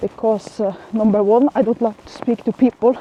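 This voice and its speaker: A woman speaks with a non-native accent. The sound is dry and close with no echo, though noticeable background noise is present. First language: not English. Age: 40s. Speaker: vlogger. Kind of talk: casual vlog monologue. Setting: outdoors walking in the rain. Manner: halting, many fillers.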